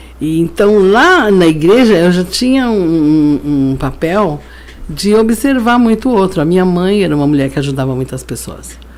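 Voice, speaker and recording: A woman at a fairly low pitch with very wide pitch swings, over noticeable background noise. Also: moderate pace. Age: 60s. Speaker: pastor and social worker. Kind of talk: interview testimony. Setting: studio.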